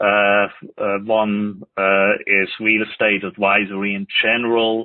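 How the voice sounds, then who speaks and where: In a Swiss accent, a man with a fairly low pitch talks at a very slow pace in a monotone, flat intonation. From Switzerland. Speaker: multifamily lender. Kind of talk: interview.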